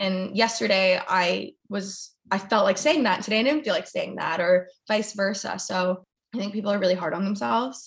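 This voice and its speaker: At a moderate pace and with hardly any pauses, the somewhat breathy voice shows ordinary pitch variation. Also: woman, medium pitch for a woman. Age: 20s. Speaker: YouTuber and former model. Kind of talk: casual interview chat about mental health. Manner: animated.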